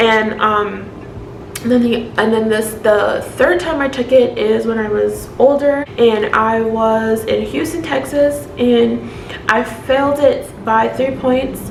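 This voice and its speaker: Amid noticeable background noise, a woman with a fairly high voice talks at a very slow pace, her intonation lively. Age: 20s. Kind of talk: casual talk to camera.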